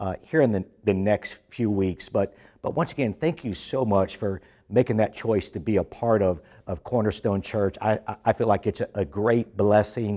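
Against a quiet background, a man with a fairly low pitch and a dark, mellow tone talks at a moderate pace with ordinary pitch variation. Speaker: church pastor. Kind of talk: sermon welcome address.

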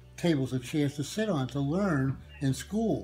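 A man speaks with lively intonation. Faint music plays in the background. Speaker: war veteran. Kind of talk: interview answer. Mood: somber, reflective. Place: home room. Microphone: phone near.

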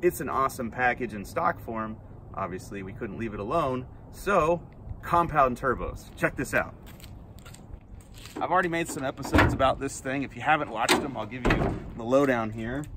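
A man at a moderate pace with long, frequent pauses, a dry sound with no echo and loud background noise. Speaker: car show host. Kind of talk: casual vlog chat. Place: street. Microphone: phone near.

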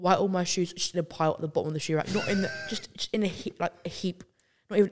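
A woman with a fairly low pitch against noticeable background noise. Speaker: podcast co-host. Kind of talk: casual podcast chat. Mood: amused, chatty storytelling. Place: studio. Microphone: studio mic.

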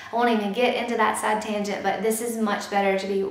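A woman at a fairly quick pace, with audible room echo. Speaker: YouTuber, mother. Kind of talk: product review tutorial. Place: home room.

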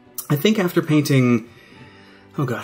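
The speaker moves at a fairly quick pace with faint music in the background. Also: man. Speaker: hobby channel host. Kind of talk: casual vlog chat. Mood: relaxed, slightly reflective. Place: home room.

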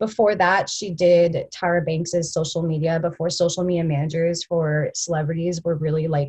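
A woman speaks at a moderate pace and fairly low pitch. Her tone is slightly mellow and her intonation fairly even.

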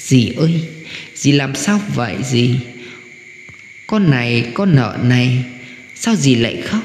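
A man's shrill, put-on character voice at a medium pitch, with lively intonation, a very slow pace and long, frequent pauses, over clear background noise with slight echo. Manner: feigned concern, sweet-sounding.

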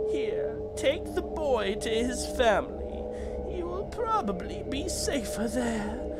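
A put-on character voice comes through over loud background noise. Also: fairly slow pace.

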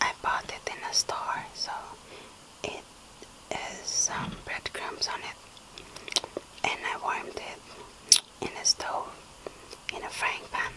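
A woman whispers very slowly, leaving long, frequent pauses. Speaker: ASMR eating creator. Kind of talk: ASMR eating video, casual talk to camera. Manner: whispered, soft. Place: home room. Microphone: phone near.

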